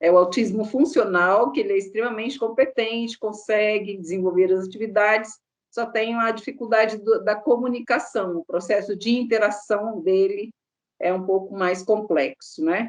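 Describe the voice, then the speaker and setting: This woman has a normal speaking voice, fairly high in pitch. She talks at a fairly slow pace. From Minas Gerais, Brazil. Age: 60s. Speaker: contact center employee. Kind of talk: interview.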